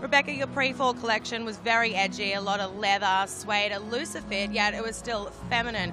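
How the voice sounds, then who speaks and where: A woman talks at a very fast pace in an upbeat tone with hardly any pauses. Clear music plays in the background, and the sound is dry with no echo. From Australia. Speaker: broadcast journalist. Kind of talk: TV entertainment report to camera.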